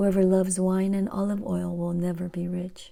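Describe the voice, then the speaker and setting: The voice has a calm tone that is dark and mellow. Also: woman. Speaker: Bible reader. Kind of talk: scripture reading. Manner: calm, relaxing.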